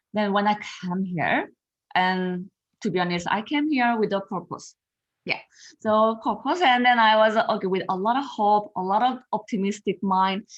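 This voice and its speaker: The background stays quiet. Her pitch varies in an ordinary way as this woman talks. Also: fairly high pitch for a woman, moderate pace. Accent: Korean. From South Korea. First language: Korean. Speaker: confidence coach. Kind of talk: podcast interview. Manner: halting.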